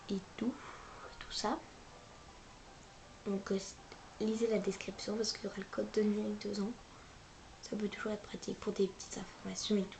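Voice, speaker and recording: A woman with a medium pitch speaks at a fairly quick pace in a monotone, flat intonation. Her speech has long, frequent pauses. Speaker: gaming youtuber. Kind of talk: casual gameplay commentary.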